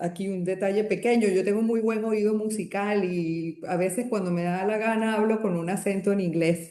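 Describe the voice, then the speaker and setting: A woman's dark, mellow tone with hardly any pauses. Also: medium pitch for a woman, moderate pace. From Latin America. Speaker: doctor. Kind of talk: interview. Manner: animated.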